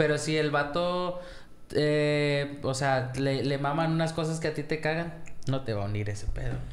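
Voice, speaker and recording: A man talks at a fairly high pitch and a moderate pace. Audible room echo is present. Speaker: podcast co-host. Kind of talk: casual chat.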